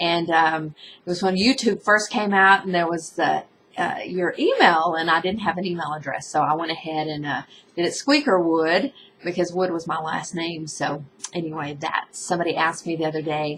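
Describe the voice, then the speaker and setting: Noticeable background noise sits behind a woman with a fairly low pitch who talks at a moderate pace with ordinary pitch variation. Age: 40s. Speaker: vlogger. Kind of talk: casual vlog to webcam. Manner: hesitant, many fillers.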